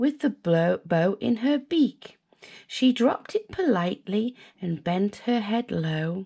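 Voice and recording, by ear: Natural read-aloud voice with lively intonation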